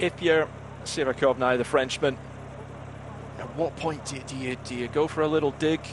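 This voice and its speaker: Against noticeable background noise, a man with a Scottish accent speaks at a fairly high pitch and a moderate pace, his intonation monotone and flat, with long, frequent pauses. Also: big swings in loudness. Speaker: cycling commentator. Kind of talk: live commentary.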